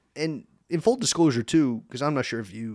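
A man with an American accent and a normal speaking voice talks at a moderate pace, with ordinary pitch variation. The recording is very clean, with a silent background. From eastern Pennsylvania (Easton). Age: 30s. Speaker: sports broadcaster. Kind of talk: casual chat. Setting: studio.

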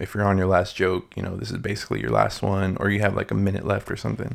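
On a very clean recording with a silent background, a man speaks with vocal fry. His intonation stays fairly even. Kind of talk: casual solo monologue. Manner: halting, many fillers.

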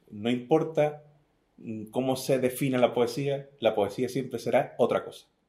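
A man speaks in an Andalusian accent at a medium pitch. His intonation stays fairly even. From southern Spain, Algeciras. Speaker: poet. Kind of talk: interview.

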